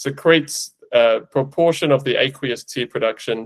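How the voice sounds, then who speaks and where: Speaking at a fairly slow pace with an Australian accent, a man uses ordinary pitch variation. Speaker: veterinary eye specialist, podcast host. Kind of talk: casual podcast chat, technical explanation.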